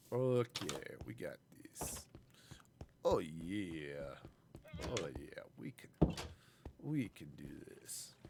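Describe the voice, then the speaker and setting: A very slow delivery full of long, frequent pauses. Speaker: gaming streamer. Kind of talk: live gameplay commentary. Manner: casual, thinking aloud.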